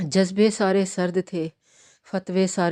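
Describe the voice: A quiet setting with plain reading aloud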